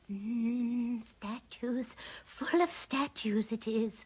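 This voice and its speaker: Using a put-on character voice, a female-sounding speaker talks very slowly at a fairly high pitch. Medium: fan dub. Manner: cosy, motherly, calls others dearie.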